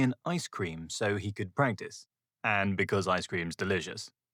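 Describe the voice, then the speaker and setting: A man with a British accent speaks at a moderate pace in a playful tone, his pitch swinging very widely. The recording is very clean, with a silent background. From United Kingdom. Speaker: children's author. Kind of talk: children's story reading. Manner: playful, humorous.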